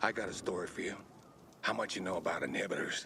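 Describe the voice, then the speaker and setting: Over clear background noise, a man rattles off lines at a very fast pace in a raspy, put-on character voice. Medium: video game.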